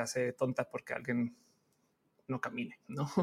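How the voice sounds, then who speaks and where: A man at a moderate pace. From Colombia, Bogotá. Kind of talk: interview.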